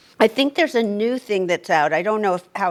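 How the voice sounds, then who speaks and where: An ordinary speaking voice from a woman, medium in pitch with ordinary pitch variation. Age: 60s. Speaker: podcast co-host. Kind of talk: casual podcast discussion.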